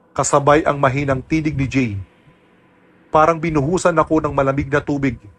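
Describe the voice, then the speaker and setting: A man delivers his words in a dramatic tone at a fairly quick pace. His fairly high voice is somewhat breathy, with fairly even intonation. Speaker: voice actor narrator. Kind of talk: scripted horror narration of a listener's first-person aswang story, told in Tagalog. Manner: hushed, suspenseful, steady storytelling pace that builds tension; dramatic and somber, with grave emphasis on frightening moments.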